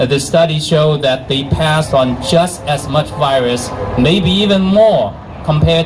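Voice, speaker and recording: Noticeable background noise and audible room echo surround this recording. A man speaks at a moderate pace with lively intonation. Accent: Chinese. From China. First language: Chinese. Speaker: physician and activist. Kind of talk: rally speech. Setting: outdoor rally with crowd. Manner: halting.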